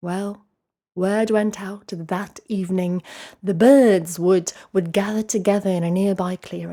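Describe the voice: Plain reading aloud with fairly even intonation comes over a quiet background.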